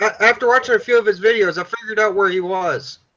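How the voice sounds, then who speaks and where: Pitch rises and falls in an ordinary way. The delivery races along very fast. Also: man. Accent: slight Upper Michigan. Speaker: livestream participant. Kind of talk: casual chat.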